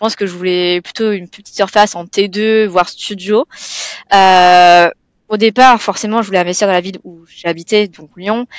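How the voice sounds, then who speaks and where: A woman has a plain, everyday voice at medium pitch, with fairly even intonation and a moderate pace. Her loudness swings widely in a dry, close sound with no echo. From southeastern France (Provence). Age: 20s. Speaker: client, first-time property investor. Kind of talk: interview. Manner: casual, with many fillers.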